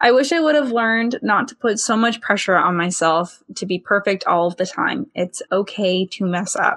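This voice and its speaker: A woman's ordinary speaking voice at medium pitch, with lively intonation, a moderate pace, and hardly any pauses. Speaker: podcast co-host. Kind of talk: podcast hosting, intro and outro.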